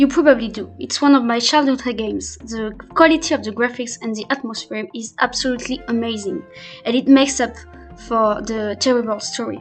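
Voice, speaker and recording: A woman with a non-native accent speaks at a fairly quick pace, with music in the background. Her high voice shows ordinary pitch variation and big swings in loudness. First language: not English. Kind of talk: Minecraft gameplay voiceover. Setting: poor home microphone. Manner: hesitant, not fluent.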